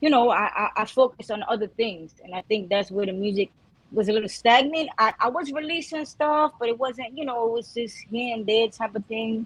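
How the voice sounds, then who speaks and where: In a New York accent, a woman speaks at a fairly quick pace in a fairly high pitch with ordinary pitch variation. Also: hardly any pauses. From Brooklyn, New York. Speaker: Spanish-language rapper. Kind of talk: casual interview.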